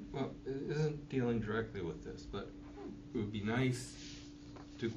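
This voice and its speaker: Noticeable background noise fills the recording. Through it comes a man's voice. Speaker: class participant. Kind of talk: class discussion.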